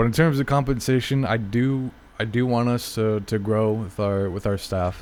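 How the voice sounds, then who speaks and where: With music in the background, a man speaks at a moderate pace, his fairly low pitch showing ordinary variation. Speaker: tournament organizer and streamer. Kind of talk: casual stream chat during tournament break. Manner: halting, frequent repetitions and fillers.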